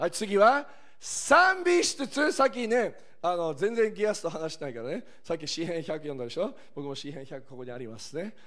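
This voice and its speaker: With an animated, bright, sharp tone, a man at a high pitch speaks at a moderate pace, with very wide pitch swings, big swings in loudness and audible room echo. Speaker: preacher. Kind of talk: sermon.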